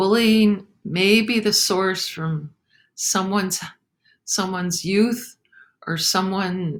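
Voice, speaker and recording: At a very slow pace, a woman speaks at medium pitch with ordinary pitch variation on a very clean recording with a silent background. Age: 70s. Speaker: author and chaplain. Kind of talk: talk to a senior community. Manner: slow, halting.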